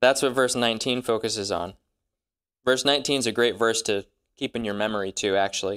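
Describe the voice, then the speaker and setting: In a normal speaking voice, the speaker goes at a fairly quick pace with fairly even intonation. The sound is dry and close with no echo, and the recording is very clean with a silent background. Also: man. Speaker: Bible teacher. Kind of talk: Bible study teaching. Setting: room with live audience.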